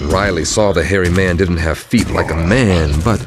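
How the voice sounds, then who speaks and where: A man's very deep, low voice at a fairly slow pace, with music in the background. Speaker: narrator. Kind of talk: folktale narration.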